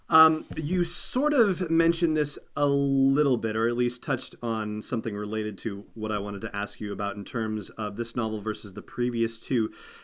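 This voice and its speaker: An ordinary speaking voice, a man at medium pitch with ordinary pitch variation, moving at a moderate pace with hardly any pauses. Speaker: podcast host. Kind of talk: podcast host interview.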